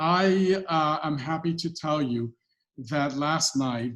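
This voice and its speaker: A man speaks with a Spanish accent. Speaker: political candidate. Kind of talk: candidate forum answer.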